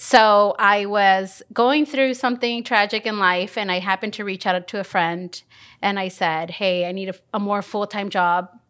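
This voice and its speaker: A woman with an ordinary speaking voice speaks at a moderate pace and medium pitch with ordinary pitch variation, in a very clean recording with a silent background. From Mexico (Oaxaca), raised in Los Angeles. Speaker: executive producer. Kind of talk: casual interview chat.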